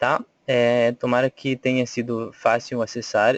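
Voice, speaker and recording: A man talks with a Bolivian accent at a medium pitch. The sound is dry and close, with no echo. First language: Spanish (speaking Portuguese). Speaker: volunteer trainer. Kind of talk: webinar presentation. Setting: online webinar. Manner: hesitant, many fillers.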